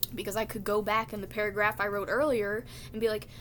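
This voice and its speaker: Quiet and bright, sharp in tone, a woman speaks at a medium pitch. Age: 20s. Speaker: vlogger. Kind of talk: casual monologue.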